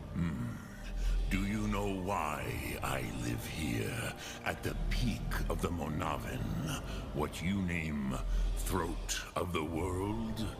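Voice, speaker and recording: Loud background noise sits behind a man speaking in a put-on character voice. His pace is very slow. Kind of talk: epic fantasy game voice acting. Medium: game stream. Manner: slow, measured, grave, mixes in dragon-tongue words.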